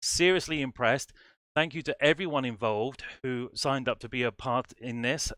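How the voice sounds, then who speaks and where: A man with an English accent speaks at a moderate pace and medium pitch, with ordinary pitch variation and a bright, sharp tone. The sound is dry and close with no echo, in a very clean recording with a silent background. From England. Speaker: music society director and band conductor. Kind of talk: livestream introduction. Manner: animated.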